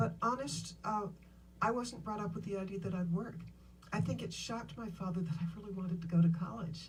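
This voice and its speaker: A woman with a fairly low pitch talks in a room with audible echo. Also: ordinary pitch variation, fairly quick pace. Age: 70s. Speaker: businesswoman and author. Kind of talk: interview on stage.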